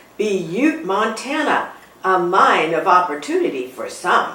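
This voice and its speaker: A woman puts on a character voice at medium pitch with very wide pitch swings. She goes at a fairly slow pace, with slight echo. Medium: read story. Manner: chatty, knowing.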